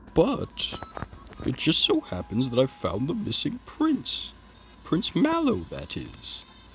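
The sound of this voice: A man uses a put-on character voice with a high pitch at a fairly slow pace. Clear background noise runs through the recording.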